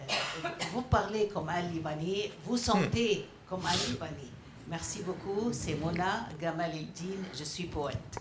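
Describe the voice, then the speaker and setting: Music plays in the background with audible room echo. A woman with a fairly low pitch speaks at a very slow pace. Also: ordinary pitch variation. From Egypt. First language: Arabic (speaking French). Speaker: audience member, poet. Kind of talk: audience question. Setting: stage with audience. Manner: halting, hesitant.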